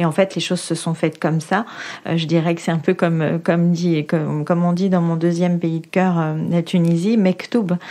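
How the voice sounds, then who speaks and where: This woman talks at a moderate pace in a fairly low pitch with monotone, flat intonation, and there is noticeable background noise. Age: 40s. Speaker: local politician. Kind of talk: interview testimony. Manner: hesitant, many fillers.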